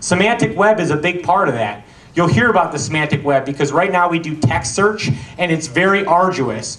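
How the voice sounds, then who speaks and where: Over noticeable background noise and audible room echo, the speaker talks at a fairly quick pace with lively intonation. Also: man. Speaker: company founder and presenter. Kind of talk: conference talk. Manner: fast.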